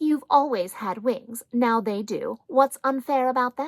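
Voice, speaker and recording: Her voice is a put-on character voice, set high. The woman delivers it fairly slowly. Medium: read story. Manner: matter-of-fact.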